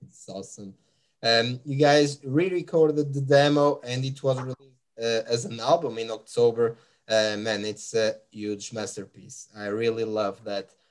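With a Portuguese accent, a man at a medium pitch speaks at a moderate pace, his pitch varying in an ordinary way and his loudness swinging widely against a quiet background. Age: 30s. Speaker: music podcast host. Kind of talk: interview. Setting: live stream. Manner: halting. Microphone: webcam.

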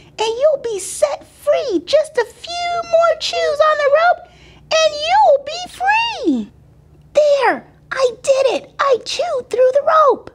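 Using a put-on character voice, a woman speaks at a very slow pace with an extremely high pitch.

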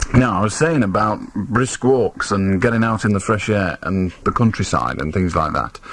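At a moderate pace and with hardly any pauses, a man with fairly low pitch speaks with lively intonation in a dry sound with no echo. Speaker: radio phone-in host. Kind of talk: late-night radio phone-in chat. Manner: conversational, opinionated. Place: studio.

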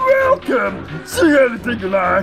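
Faint music sits behind a put-on character voice that speaks slowly with a fairly bright tone, vocal fry and very wide pitch swings.

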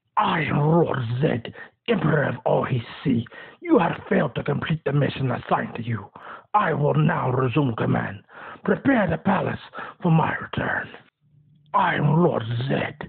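A put-on character voice at a low-to-middle pitch moves at a moderate pace with long, frequent pauses. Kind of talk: character voice impression. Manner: commanding, menacing.

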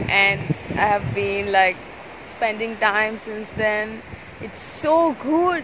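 Over noticeable background noise, a woman talks at a very slow pace in a dry sound with no echo. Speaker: travel vlogger. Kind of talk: casual vlog chat. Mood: happy, excited. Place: beach. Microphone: phone near.

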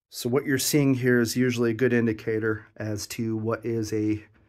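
A man at a fairly low pitch and a moderate pace, fairly even intonation, quiet background. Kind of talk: exploration commentary. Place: tunnel cave. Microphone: phone near.

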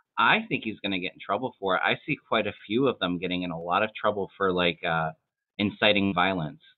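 Against a quiet background, a man talks at a fairly quick pace in a fairly low pitch. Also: ordinary pitch variation. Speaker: tarot reader. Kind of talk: casual chat. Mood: earnest, speculative. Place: home room. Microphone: webcam.

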